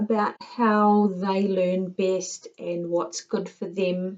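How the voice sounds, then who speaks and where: Someone speaks very slowly in a New Zealand accent. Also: woman. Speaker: tutor. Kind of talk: tutorial.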